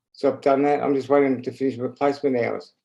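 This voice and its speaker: This man's pitch is fairly high for a man. His tone is dark and mellow. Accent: Australian. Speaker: stroke survivor, committee newcomer. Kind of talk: online meeting chat. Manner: slurred speech; halting.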